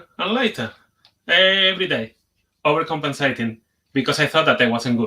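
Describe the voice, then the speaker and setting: In a Spanish accent, a man speaks with a bright, sharp tone and very wide pitch swings. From Spain. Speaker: conference speaker, software developer. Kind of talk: conference talk. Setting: video call, sharing screen.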